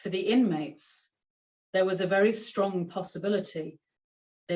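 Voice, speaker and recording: A woman with a Yorkshire accent talks at a moderate pace with fairly even intonation. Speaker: author and clothes historian. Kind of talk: author talk; reading aloud from her book.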